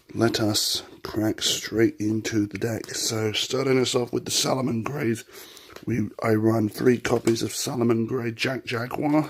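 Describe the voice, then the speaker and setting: There is noticeable background noise behind a man speaking at a medium pitch with fairly even intonation. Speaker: YouTuber presenting card game decks. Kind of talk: deck profile tutorial. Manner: casual, hesitant with fillers.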